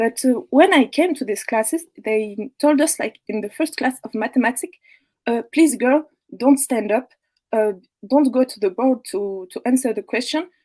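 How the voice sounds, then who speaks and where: With a French accent and lively intonation, a woman speaks at a moderate pace in a dry, close sound with no echo. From France. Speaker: caller. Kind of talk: testimony. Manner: halting. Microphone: too quiet.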